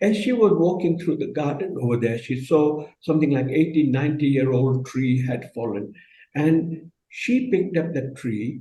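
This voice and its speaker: There is audible room echo as a man speaks at a moderate pace, his fairly high voice dark, mellow and somewhat breathy, with lively intonation. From Kenya. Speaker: business leader. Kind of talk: panel discussion. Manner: halting.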